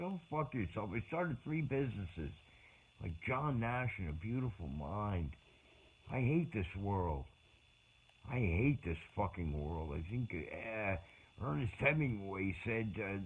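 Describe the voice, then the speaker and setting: Here a man talks at a fairly slow pace and a fairly low pitch, leaving long, frequent pauses. His voice is somewhat breathy, and his pitch swings very widely. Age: 60s. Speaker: vlogger. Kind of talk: personal monologue. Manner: halting.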